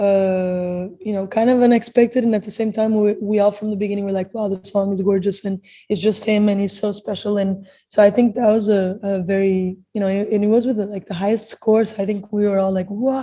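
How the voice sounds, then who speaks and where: A woman's somewhat breathy, dark and mellow voice with a Portuguese accent, medium pitch, flat monotone intonation, a fairly quick pace and hardly any pauses. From Portugal. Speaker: singer. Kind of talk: interview. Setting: video call.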